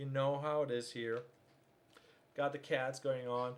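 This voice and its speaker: With fairly even intonation, a man with a fairly high voice speaks at a moderate pace. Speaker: video creator reviewing audio gear. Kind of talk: livestream tutorial. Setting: home livestream with cat. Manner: loud; casual, halting with fillers.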